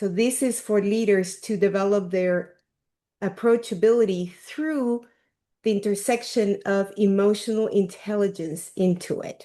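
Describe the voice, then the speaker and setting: Against a quiet background, a woman with a Peruvian accent speaks fairly slowly at a medium pitch, in a dark, mellow tone with fairly even intonation. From Peru, Lima. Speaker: leadership coach. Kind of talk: workshop talk.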